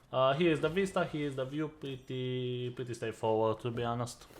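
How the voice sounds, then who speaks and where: Speaking with a non-native accent, a man uses a medium pitch. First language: not English. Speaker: gaming youtuber. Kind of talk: game guide voiceover. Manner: casual, many filler uhs.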